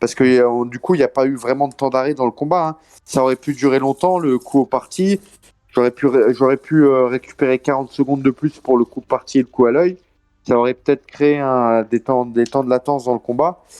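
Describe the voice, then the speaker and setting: A man's medium-pitched voice with a dark, mellow tone at a fairly quick pace, with fairly even intonation and a dry, close sound with no echo. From France. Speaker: MMA fighter. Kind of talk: interview. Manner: hesitant, many fillers.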